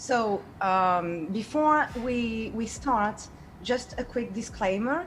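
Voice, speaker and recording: A woman with a French accent speaks very slowly in a somewhat breathy voice at a fairly high pitch with lively intonation. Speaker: game designer and artist. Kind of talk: online workshop presentation. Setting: video call. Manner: hesitant, with fillers.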